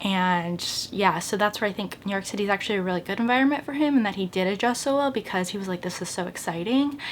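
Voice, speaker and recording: A woman at medium pitch, lively intonation and a very fast pace. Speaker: lifestyle vlogger. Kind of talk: casual vlog monologue. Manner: animated.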